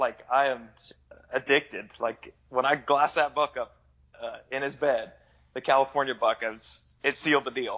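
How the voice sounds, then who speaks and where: A man speaks at a moderate pace, with a fairly high pitch. He has an ordinary speaking voice. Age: 20s. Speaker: hunter. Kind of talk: casual chat.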